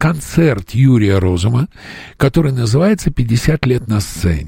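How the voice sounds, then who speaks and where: Speaking at a very slow pace, a man has a medium pitch with very wide pitch swings. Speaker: radio host. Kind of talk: radio interview.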